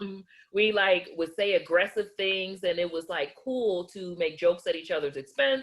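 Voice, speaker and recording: A woman's medium-pitched voice carries ordinary pitch variation as she talks at a moderate pace. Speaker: interviewer and channel host. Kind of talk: interview conversation. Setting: video call. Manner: loud; blunt.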